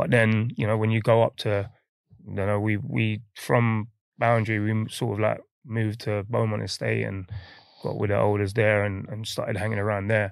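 Against a quiet background, a man with an East London accent talks at a moderate pace in a fairly low pitch, his intonation monotone and flat. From London, Hackney. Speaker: professional footballer. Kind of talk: casual interview.

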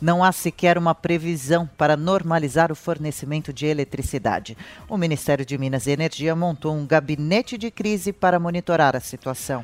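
A man with an ordinary speaking voice talks at a moderate pace with hardly any pauses, his pitch fairly high with ordinary variation. The recording is very clean with a silent background and a dry, close sound with no echo. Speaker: news presenter. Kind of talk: news reading. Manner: formal.

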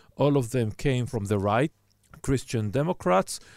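This man has an Israeli accent and a medium pitch. He talks at a moderate pace with lively intonation. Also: very clean recording, silent background. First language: Hebrew. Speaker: journalist and moderator. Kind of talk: moderated panel discussion.

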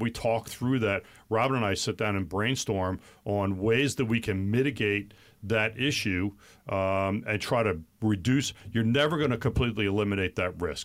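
On a very clean recording with a silent background, a man with a fairly low pitch uses an ordinary speaking voice, with ordinary pitch variation, very even loudness and a moderate pace. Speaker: financial advisor. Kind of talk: radio talk show discussing finance. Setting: studio.

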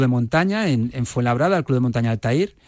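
Lively intonation marks this man's medium-pitched voice. The recording is very clean, the background silent. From Spain (Barcelona, Ciudad Real, Córdoba family). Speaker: mountaineer. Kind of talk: radio interview. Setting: radio studio. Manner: hesitant, many fillers.

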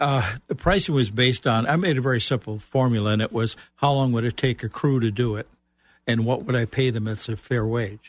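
A man's plain, everyday voice, medium in pitch with ordinary variation, at a fairly quick pace, in a dry, close sound with no echo and a quiet background. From Chicago. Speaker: author and business coach. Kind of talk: radio interview.

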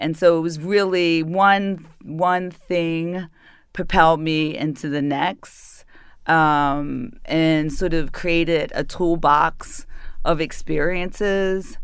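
The speaker talks at a very slow pace with a northern US accent. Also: woman. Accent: northern US accent, often taken for New York. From Baltimore, Maryland. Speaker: city arts and culture advisor, former PR executive. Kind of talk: interview.

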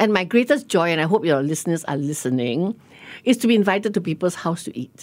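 A woman speaks at a very fast pace. Her medium-pitched voice makes very wide pitch swings. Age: 60s. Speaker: food writer and restaurateur. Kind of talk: casual chat. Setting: radio studio.

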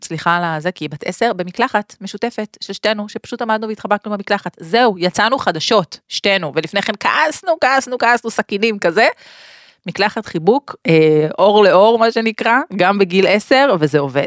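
In an ordinary speaking voice, a woman talks at a moderate pace with a medium pitch and lively intonation. The recording is very clean with a silent background. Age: 40s. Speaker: podcast host. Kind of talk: solo monologue podcast. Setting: studio.

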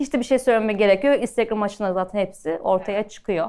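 A woman with a normal speaking voice talks at a fairly quick pace and a fairly high pitch, with ordinary pitch variation. The recording is very clean, with a silent background. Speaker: pastry chef. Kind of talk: live talk with audience Q&A. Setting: stage with audience.

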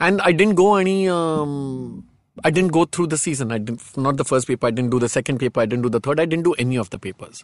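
A man's very fast, lively speech in a fairly high pitch with a Marathi accent, in a dry, close sound with no echo. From India, Marathi background. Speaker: film director and fashion designer. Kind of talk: interview, casual chat.

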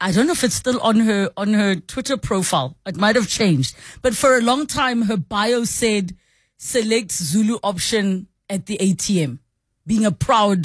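A woman's somewhat breathy, medium-pitched voice, with lively intonation, at a fairly slow pace. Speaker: radio talk show host. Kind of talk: call-in radio talk show. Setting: radio studio.

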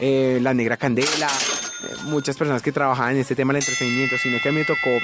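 Someone talks at a fairly quick pace with fairly even intonation while music plays in the background. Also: man. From Colombia, Valle del Cauca (Cartago). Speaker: entertainment journalist and TV presenter. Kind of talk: casual interview.

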